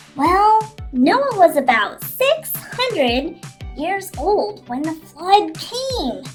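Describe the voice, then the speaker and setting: A woman puts on a character voice with extremely high pitch and very wide pitch swings, speaking at a very slow pace. Clear music plays in the background. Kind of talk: children's Bible story telling. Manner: gentle, explanatory.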